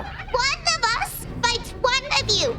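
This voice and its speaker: A cartoonish character voice, squeaky and extremely high in pitch. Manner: defiant, threatening.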